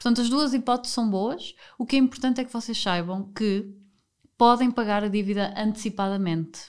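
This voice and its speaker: The recording is very clean, with a silent background, as a woman speaks at a moderate pace in a plain, everyday voice. Her pitch is fairly high, with ordinary pitch variation. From northern Portugal, Porto. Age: 30s. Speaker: podcast host. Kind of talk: casual chat.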